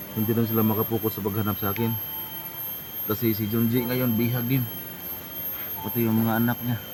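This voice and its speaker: This man talks at a medium pitch and a fairly quick pace, with monotone, flat intonation. Long, frequent pauses break up his speech, and there is noticeable background noise. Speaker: vlogger. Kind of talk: casual vlog talk to viewers.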